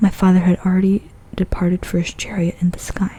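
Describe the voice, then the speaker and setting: The speech is soft-spoken and at a moderate pace. Noticeable background noise sits behind it. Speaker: ASMR creator. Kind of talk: ASMR book reading.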